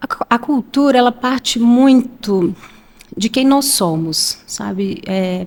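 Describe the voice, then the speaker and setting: A woman's high-pitched voice with a Minas Gerais accent, lively intonation and a very slow pace. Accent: Minas Gerais (mineiro). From Minas Gerais, Brazil (Belo Horizonte). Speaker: HR manager. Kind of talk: podcast interview.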